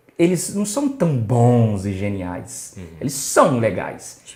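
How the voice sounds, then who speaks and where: A man at a very slow pace, with very wide pitch swings and noticeable background noise. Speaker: podcast host. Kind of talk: podcast host talk.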